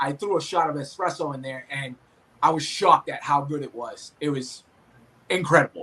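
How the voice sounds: Speaking with a strong Boston accent, a man uses a fairly high, bright, sharp voice with ordinary pitch variation at a moderate pace. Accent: thick Boston.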